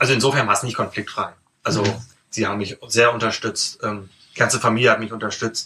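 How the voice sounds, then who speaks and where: Speaking at a very fast pace yet with long, frequent pauses, a man uses a medium pitch and a bright, sharp tone in a monotone, flat delivery. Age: 30s. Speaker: bookshop owner. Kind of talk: casual interview. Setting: in his bookshop.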